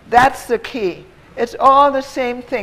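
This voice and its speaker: Behind a woman's high voice comes noticeable background noise. Her pace is fairly slow. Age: 80s+. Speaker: health therapy advocate. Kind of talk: audience Q&A. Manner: brisk.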